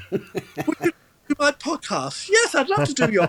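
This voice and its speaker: A man speaks in a raised, projected voice with a slight Cockney accent. The sound is dry and close, with no echo. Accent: London English, slight Cockney. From London East End. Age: 70s. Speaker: entertainer. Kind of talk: casual chat. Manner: halting with false starts. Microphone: poor quality remote feed.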